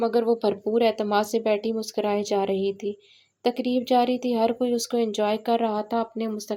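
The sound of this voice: The voice here is an unforced reading voice.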